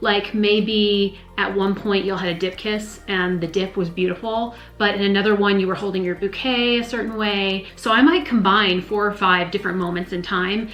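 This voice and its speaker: An American accent at a moderate pace with fairly even intonation and hardly any pauses, over noticeable background noise. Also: woman, medium pitch for a woman. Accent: minimal Southern accent, most say none. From US South, north Georgia Appalachians. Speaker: live wedding painter. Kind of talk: casual Q&A monologue.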